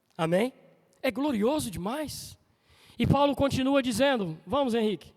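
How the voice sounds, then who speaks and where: Lively intonation marks this man's extremely high-pitched voice as he speaks at a fairly slow pace. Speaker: preacher. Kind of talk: sermon. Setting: church. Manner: animated.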